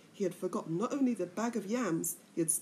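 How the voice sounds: This is a natural reading voice. It sounds like someone reading.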